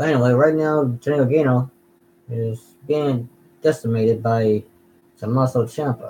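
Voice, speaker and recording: Somewhat breathy and medium in pitch, a man talks at a moderate pace, leaving long, frequent pauses. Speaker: gaming and wrestling YouTuber. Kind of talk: casual watch-along commentary. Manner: halting, repeats words.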